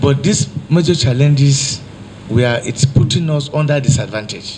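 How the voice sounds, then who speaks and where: A man with a Nigerian accent, fairly even intonation and a moderate pace, over light background noise. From Niger State, Nigeria. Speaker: deputy state governor, visiting official. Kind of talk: formal official meeting address. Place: meeting room. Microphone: handheld.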